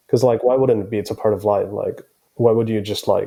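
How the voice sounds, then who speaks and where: This man talks with a Finnish accent in a dark, mellow tone. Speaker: band keyboardist. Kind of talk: podcast interview.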